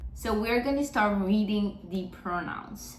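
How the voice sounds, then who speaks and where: A woman speaks at a moderate pace in a Spanish accent, with noticeable background noise and audible room echo. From Mexico. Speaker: Spanish teacher. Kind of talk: tutorial.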